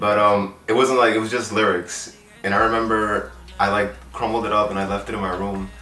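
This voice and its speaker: With music in the background and audible room echo, a man talks at a moderate pace and a fairly low pitch with ordinary pitch variation. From Queens, New York. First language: Spanish. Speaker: singer and music producer. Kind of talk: interview. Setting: in person in Brooklyn. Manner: hesitant, many fillers.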